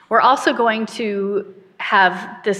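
Noticeable background noise runs under this recording. The woman's voice is fairly high in pitch. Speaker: minister. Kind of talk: sermon and prayer, worship service. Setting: church. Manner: solemn, earnest, fervent prayer in a slow, heartfelt, hushed cadence.

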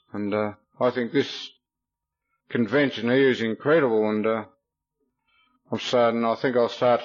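In an Australian accent, a man speaks at a moderate pace. His medium pitch follows fairly even intonation. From Victoria, Australia. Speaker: recovering alcoholic speaker. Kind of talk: testimony. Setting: stage with audience.

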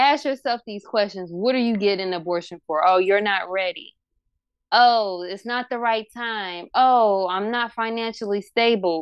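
An unremarkable speaking voice from a woman, at a medium pitch and a moderate pace, with ordinary pitch variation. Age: 20s. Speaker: podcaster. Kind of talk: casual chat.

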